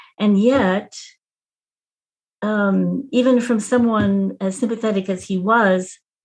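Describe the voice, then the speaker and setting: In an American accent, a woman speaks very slowly with long, frequent pauses, fairly even intonation and a somewhat breathy voice. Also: medium pitch for a woman. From Texas. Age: 70s. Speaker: retired nurse and activist. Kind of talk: interview.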